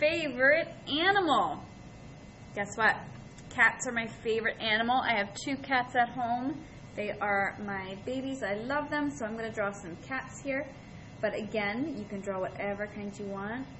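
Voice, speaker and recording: Here a woman talks in an ordinary speaking voice at a fairly slow pace. Her pitch is fairly high, with ordinary pitch variation. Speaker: art teacher. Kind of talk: tutorial. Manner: friendly, addresses children.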